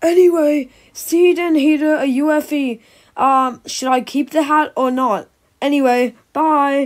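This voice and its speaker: High-pitched and cartoonish, this character voice moves at a fairly slow pace. The recording is very clean, with a silent background. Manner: breezy, offhand.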